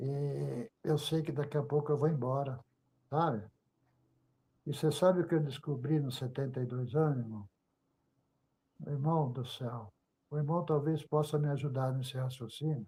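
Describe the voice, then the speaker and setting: In a very clean recording with a silent background, a man with a fairly high pitch and a dark, mellow, somewhat breathy tone speaks at a moderate pace with fairly even intonation and long, frequent pauses. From Brazil, Volta Redonda, Rio de Janeiro state. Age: 70s. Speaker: church member giving testimony. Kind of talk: religious testimony and exhortation.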